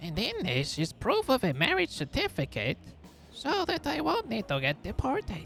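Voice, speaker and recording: Clear music plays behind the speaker. He is a man using a put-on character voice. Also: moderate pace. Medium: game stream. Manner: sly, conspiratorial.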